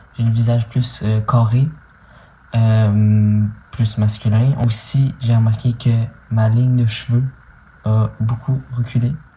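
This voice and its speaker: In a Quebec accent, the speech comes at a very slow pace with long, frequent pauses, very even loudness and monotone, flat intonation. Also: man, medium pitch for a man. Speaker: vlogger. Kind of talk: video diary update. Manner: casual, hesitant with many fillers.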